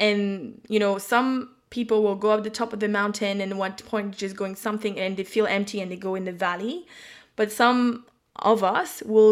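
A woman's fairly high voice at a moderate pace. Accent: French. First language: French. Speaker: psychic and intuitive business mentor. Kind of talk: casual chat.

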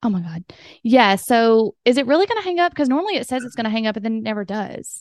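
Very fast talking in a Southern US accent with lively intonation. The sound is dry and close, with no echo. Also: woman, fairly high pitch for a woman. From US South. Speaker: podcast host. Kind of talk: casual interview chat. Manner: excitable.

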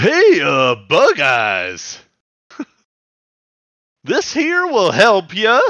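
A man speaks in a put-on character voice pitched extremely high, very slowly. Long pauses come often, and the background is quiet. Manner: yelling.

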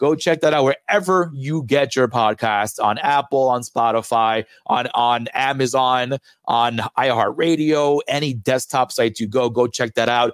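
At a fairly slow pace, a man with an ordinary speaking voice talks at a medium pitch with ordinary pitch variation, the sound dry and close with no echo. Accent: American. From New York. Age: 30s. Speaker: podcast host. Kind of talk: casual chat.

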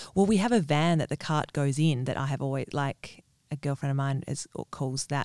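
With an Australian accent, the speaker keeps to a moderate pace. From Western Australia (Perth). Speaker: small business owner, fairy floss caterer. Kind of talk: casual interview. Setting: studio.

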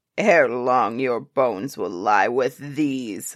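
A bellowing, put-on character voice in a low-to-middle pitch, at a very slow pace, on a very clean recording with a silent background. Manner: bellowing, threatening.

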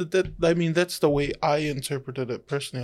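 A fairly quick delivery with a New Zealand accent. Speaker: radio host. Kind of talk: casual chat. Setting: studio. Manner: animated.

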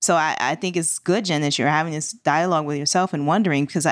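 Very fast and at a fairly low pitch, a woman speaks with ordinary pitch variation on a very clean recording with a silent background. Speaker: confidence coach and podcast co-host. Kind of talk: casual panel discussion.

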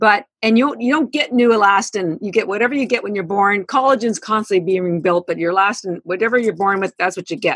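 Words pour out at a very fast pace with hardly any pauses and ordinary pitch variation. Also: woman, medium pitch for a woman. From Canada. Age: 60s. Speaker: founder of a supplement company. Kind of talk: podcast interview.

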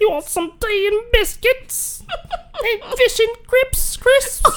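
An extremely high-pitched, put-on character voice drags along at a very slow pace. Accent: British. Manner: warm, friendly.

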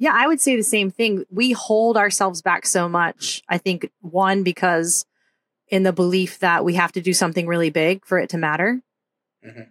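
A woman with an American accent uses an ordinary speaking voice at a moderate pace and medium pitch with ordinary pitch variation, the sound dry and close with no echo on a very clean recording with a silent background. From Oklahoma. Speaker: podcast host, psychologist and army veteran. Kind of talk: scripted intro.

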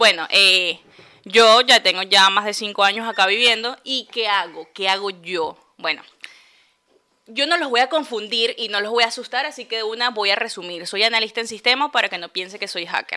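Speaking at a moderate pace, a woman has an ordinary speaking voice, fairly high in pitch, with ordinary pitch variation. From Venezuela, Puerto Ordaz. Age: 20s. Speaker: podcast co-host. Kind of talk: casual chat.

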